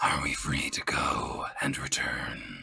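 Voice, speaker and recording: A raspy, put-on character voice. It moves at a fairly slow pace. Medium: actual play. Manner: formal, earnest.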